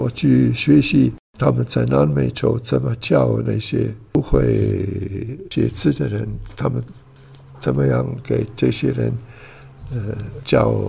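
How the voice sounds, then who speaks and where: With an Italian accent, a man speaks at a very slow pace with long, frequent pauses over noticeable background noise. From Switzerland, Italian-speaking region. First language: Italian (speaking Chinese). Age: 80s+. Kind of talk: interview. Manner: halting.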